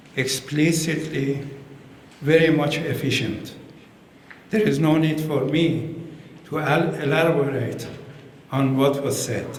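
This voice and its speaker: Very slow speech in an Iranian accent, with long, frequent pauses, audible room echo and noticeable background noise. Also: man, fairly high pitch for a man, fairly even intonation. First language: Persian. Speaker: ambassador. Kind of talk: formal speech at community event. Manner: halting, many hesitations.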